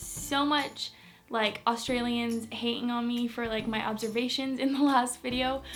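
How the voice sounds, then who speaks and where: At a fairly slow pace, a woman with an American accent talks in an ordinary speaking voice at a fairly high pitch. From Manchester, England; later USA. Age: young. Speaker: beauty and lifestyle vlogger. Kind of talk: casual talk to camera. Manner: upbeat.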